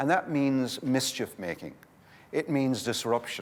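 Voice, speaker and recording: A man's medium-pitched voice in a Limerick accent, at a moderate pace. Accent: Irish, Limerick. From Ireland, Limerick. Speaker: community development speaker. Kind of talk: conference workshop talk. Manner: animated.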